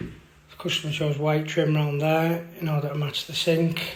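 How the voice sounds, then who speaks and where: A man with a British accent speaks at a fairly slow pace in a monotone, flat delivery, his pitch fairly high. Room echo is audible and background noise is noticeable. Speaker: building contractor. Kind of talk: video diary tutorial.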